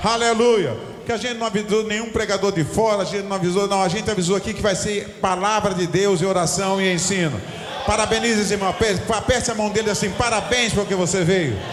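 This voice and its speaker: With hardly any pauses, a man with a high pitch speaks at a fairly quick pace amid audible room echo and noticeable background noise. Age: 60s. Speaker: pastor. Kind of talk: sermon. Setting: church. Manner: animated.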